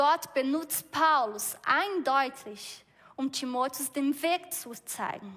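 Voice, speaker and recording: A woman with a Brazilian accent speaks at a very slow pace in a high pitch with a bright, sharp tone. Her intonation is lively, with big swings in loudness. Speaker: preacher. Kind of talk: sermon. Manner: halting.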